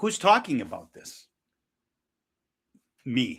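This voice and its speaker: Bright, sharp, and animated in tone, a man speaks at a fairly slow pace with lively intonation on a very clean recording with a silent background. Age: 60s. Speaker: caffeine-quitting coach and author. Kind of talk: podcast interview.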